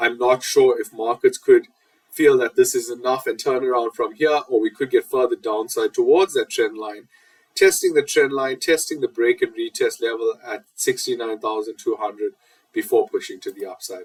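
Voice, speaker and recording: With a South African accent, a man talks at a moderate pace in a dry, close sound with no echo. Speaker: market analyst. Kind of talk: market analysis tutorial.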